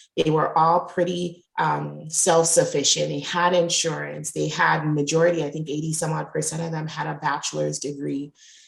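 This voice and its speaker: Someone with a Jamaican accent speaks at a moderate pace with hardly any pauses. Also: woman. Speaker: resilience and diversity coach. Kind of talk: interview conversation. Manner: loud.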